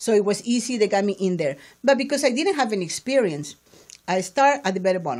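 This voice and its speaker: A woman speaks at a very fast pace in a medium pitch. Her pitch swings very widely. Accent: Spanish. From Peru, Lima. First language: Spanish. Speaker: entrepreneur in print sales. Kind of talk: interview conversation.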